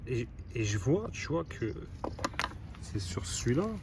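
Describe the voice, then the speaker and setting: Amid noticeable background noise, a man talks with lively intonation. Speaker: car repair YouTuber. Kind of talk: casual vlog tutorial. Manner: casual slangy. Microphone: poor sound quality.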